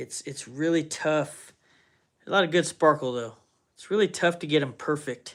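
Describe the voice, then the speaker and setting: In a very clean recording with a silent background, a man with a fairly high pitch and ordinary pitch variation speaks at a moderate pace, taking long, frequent pauses and showing big swings in loudness. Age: 40s. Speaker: woodturner streaming live. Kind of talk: casual live stream chat.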